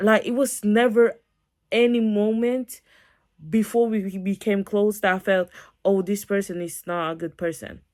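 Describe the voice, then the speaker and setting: A woman of medium pitch, animated in tone, with a non-native accent. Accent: foreign. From non-English-speaking country. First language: not English. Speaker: YouTuber. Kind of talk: storytime vlog.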